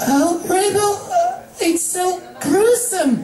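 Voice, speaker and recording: At a very slow pace, a put-on character voice with an extremely high pitch sounds over clear background noise. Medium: read story. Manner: soft, hesitant.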